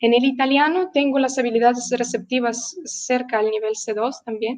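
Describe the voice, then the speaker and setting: With a Russian accent, a woman talks at a moderate pace in a high voice, her pitch moving in an ordinary way. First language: Russian (speaking Spanish). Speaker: language teacher. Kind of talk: interview. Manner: hesitant, with many fillers.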